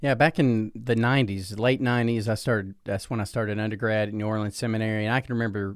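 The talking comes at a very fast pace. It is delivered in a Southern US accent. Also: man, very clean recording, silent background. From US Deep South (Alabama, Georgia). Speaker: pastor. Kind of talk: casual interview.

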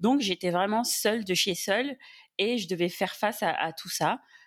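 A woman with an unremarkable speaking voice talks at a moderate pace with lively intonation on a very clean recording with a silent background. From Senegal. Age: 30s. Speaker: podcast guest. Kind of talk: casual chat.

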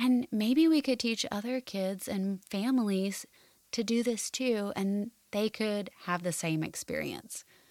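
Soft-spoken and calm in tone, a woman with a fairly high pitch and ordinary pitch variation speaks at a fairly slow pace. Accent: American. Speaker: podcast host, counselor. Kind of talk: personal testimony. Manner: soft, calm voice for guided prayers.

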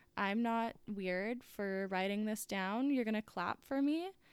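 Speaking at a fairly slow pace, a woman with fairly high pitch shows ordinary pitch variation. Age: 20s. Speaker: podcast host. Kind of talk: solo casual monologue.

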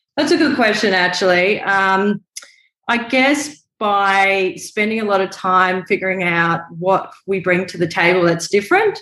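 At a fairly slow pace, a woman with an Australian accent speaks in a medium pitch with ordinary pitch variation. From Brisbane, Australia. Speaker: photographer and filmmaker. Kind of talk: casual interview chat. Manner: chatty.

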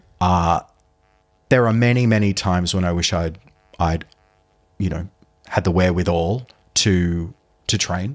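A man with an Australian accent and a very deep, low pitch speaks at a moderate pace with ordinary pitch variation. He leaves long, frequent pauses while music plays in the background. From Sydney, Australia. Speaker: musical theatre performer. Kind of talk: casual chat. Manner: halting.

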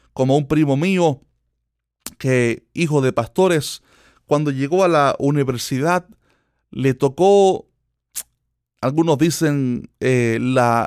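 At a very slow pace, a man with a fairly high pitch and ordinary pitch variation speaks in a dry, close sound with no echo. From Cuba. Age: 20s. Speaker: preacher and podcast host. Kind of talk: sermon-style monologue.

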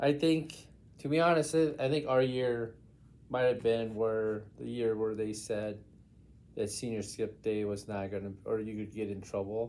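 A man with a normal speaking voice speaks at a medium pitch and a fairly slow pace, with ordinary pitch variation. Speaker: podcast host. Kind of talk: casual interview chat. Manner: casual, chatty.

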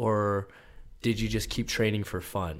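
This is a man with a plain, everyday voice, medium in pitch, in an American accent. He talks at a fairly slow pace on a very clean recording with a silent background. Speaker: podcast host. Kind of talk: casual interview.

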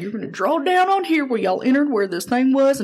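A man's put-on character voice, extremely high-pitched, racing at a very fast pace over clear background noise. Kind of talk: casual, imitation in a story.

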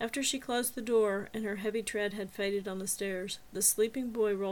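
The intonation holds fairly even. It is an unforced reading voice.

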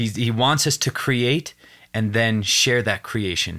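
Moderate in pace, a man speaks with an unremarkable speaking voice. His pitch varies in an ordinary way on a very clean recording with a silent background. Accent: American. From Wyoming, US. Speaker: actor and TV host. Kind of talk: casual interview chat. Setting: studio.

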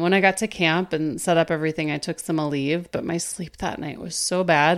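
Using a plain, everyday voice, a woman speaks at a moderate pace with fairly even intonation. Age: 50s. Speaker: podcast host and life coach. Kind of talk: casual solo podcast monologue.

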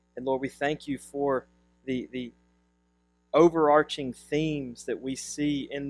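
This man's pitch is fairly high, and his intonation is flat and monotone. He talks at a fairly slow pace. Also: dry, close sound with no echo. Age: 30s. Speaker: pastor. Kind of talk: sermon; prayer.

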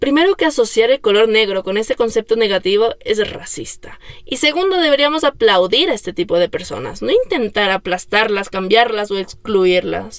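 A woman's plain, everyday voice, fairly high in pitch, with lively intonation, a moderate pace and hardly any pauses. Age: 30s. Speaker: podcast host. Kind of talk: personal monologue.

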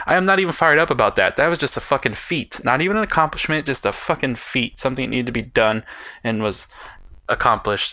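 Bright and sharp in tone, a man with a fairly high pitch talks very fast with lively intonation. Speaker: book podcast host. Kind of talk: casual solo podcast. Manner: animated.

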